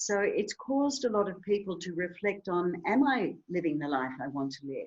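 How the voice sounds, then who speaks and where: A woman at a medium pitch with an Australian accent, moderate pace and very wide pitch swings. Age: 60s. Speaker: author and health foundation founder. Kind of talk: podcast interview.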